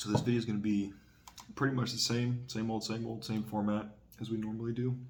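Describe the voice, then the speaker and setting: Quiet and very fast, a man talks at medium pitch in a monotone, flat delivery, with audible room echo. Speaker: vlogger. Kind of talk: casual monologue vlog. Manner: quiet, keeping voice down.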